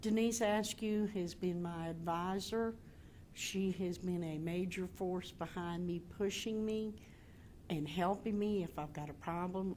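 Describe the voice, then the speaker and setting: A woman talks fairly slowly with a North Carolina accent. Her pitch is medium and her intonation fairly even. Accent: Southern US (North Carolina). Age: 60s. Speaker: graduating student. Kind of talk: testimony.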